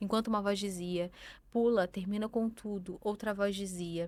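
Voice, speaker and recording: A woman of medium pitch speaks in a strong Rio de Janeiro accent. Her pace is moderate and her intonation monotone and flat. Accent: strong carioca. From Rio de Janeiro, Brazil. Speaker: pastor. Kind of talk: testimony.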